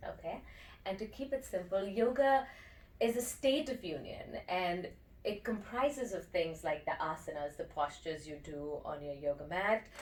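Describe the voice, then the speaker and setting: A woman speaks at a moderate pace in a medium pitch, her voice swinging very widely up and down. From India. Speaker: breathwork and meditation teacher. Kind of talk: interview.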